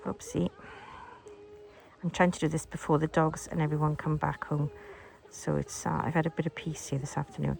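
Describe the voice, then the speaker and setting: A woman with an English accent, against noticeable background noise. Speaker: crochet teacher. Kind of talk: tutorial. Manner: casual, hesitant with fillers.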